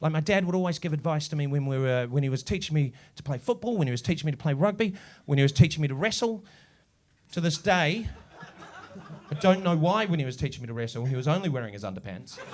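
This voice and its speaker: Very fast and animated, a man with a New Zealand accent talks in a fairly high voice with lively intonation. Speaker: comedian. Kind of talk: stand-up. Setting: stage with audience.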